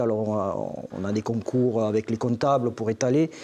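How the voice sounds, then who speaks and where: A man talks at a fairly slow pace. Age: 50s. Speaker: fruit grower. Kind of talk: televised panel debate. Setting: studio with live audience. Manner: halting, repeats words.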